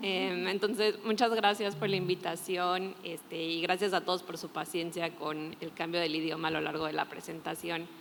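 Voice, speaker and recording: This woman has a fairly low pitch. She keeps a moderate pace and fairly even intonation. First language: Spanish (speaking Portuguese). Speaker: climate NGO expert, panelist. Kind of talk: panel discussion.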